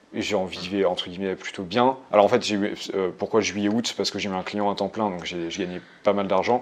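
Here is a man with an ordinary speaking voice and fairly even intonation. He keeps a moderate pace with hardly any pauses. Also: fairly low pitch for a man. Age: young. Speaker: solopreneur and ghostwriter for executives. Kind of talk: casual chat. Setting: in person in Budapest.

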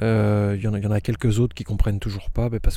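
A man speaks at a fairly low pitch, his somewhat breathy voice carrying a dark, mellow tone. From northern France, Aisne. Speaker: winegrower. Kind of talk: interview. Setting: outdoors in vineyard. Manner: halting.

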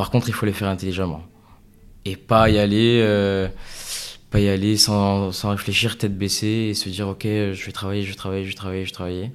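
A fairly low male voice, monotone and flat, at a fairly quick pace. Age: 20s. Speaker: tech entrepreneur. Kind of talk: interview. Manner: hesitant, many fillers.

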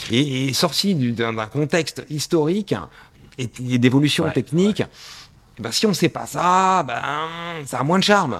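Speaking at a fairly slow pace with long, frequent pauses, a man with a fairly high pitch uses lively intonation on a very clean recording with a silent background. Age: 50s. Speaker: watch strap maker. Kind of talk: interview. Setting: in his workshop.

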